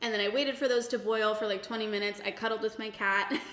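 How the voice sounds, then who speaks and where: A woman's fairly high-pitched voice with ordinary pitch variation, over noticeable background noise. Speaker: cooking vlogger. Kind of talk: casual talk to camera. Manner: casual, chatty.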